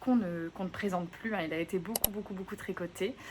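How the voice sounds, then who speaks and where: Noticeable background noise surrounds a woman whose intonation is fairly even. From southwest France, Gironde. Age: 30s. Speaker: knitting podcaster. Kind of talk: casual vlog chat. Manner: hesitant, many fillers.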